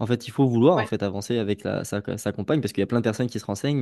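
Over a quiet background, a man talks at a medium pitch with fairly even intonation and a dark, mellow tone. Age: 20s. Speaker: life coach. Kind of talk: podcast interview.

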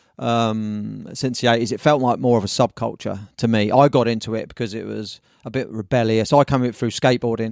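A man with a southern English accent speaks at a fairly quick pace and medium pitch, his intonation fairly even, in a very clean recording with a silent background. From southern England, Brighton. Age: 50s. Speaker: surf magazine publisher and surf shop owner. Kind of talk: casual chat.

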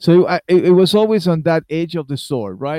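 A dark, mellow voice with lively intonation at a moderate pace, on a very clean recording with a silent background. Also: man. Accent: Argentine. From Argentina. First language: Spanish. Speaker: musician. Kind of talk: interview. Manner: animated.

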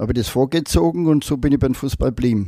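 Here a man talks at a very fast pace. His tone is dark and mellow, with ordinary pitch variation. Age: 80s+. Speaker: retired footballer. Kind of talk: interview.

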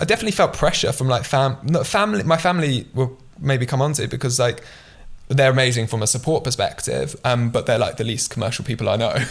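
A man's very fast, somewhat breathy delivery at medium pitch with ordinary pitch variation. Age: 20s. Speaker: entrepreneur. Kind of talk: casual chat.

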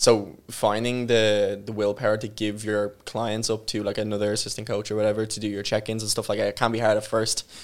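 With an Irish accent, a man talks at a fairly quick pace with hardly any pauses, his fairly low voice monotone and flat. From Ireland, small town. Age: 20s. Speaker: online fitness coach. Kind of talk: casual interview chat.

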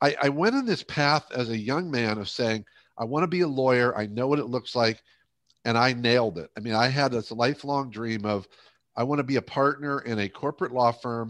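With an American accent, a man talks at a fairly quick pace in medium pitch with ordinary pitch variation against a quiet background, an ordinary speaking voice. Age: 60s. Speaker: leadership coach and speaker. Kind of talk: interview conversation.

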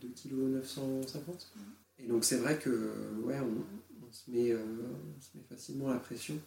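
A man speaks fairly slowly over noticeable background noise. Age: 20s. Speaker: father sharing breastfeeding experience. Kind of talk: testimony. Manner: halting.

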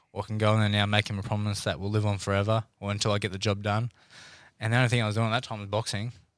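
A man's very fast, monotone delivery with an Australian accent, fairly low in pitch and flat in intonation, on a very clean recording with a silent background. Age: 20s. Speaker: professional boxer. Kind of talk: casual chat.

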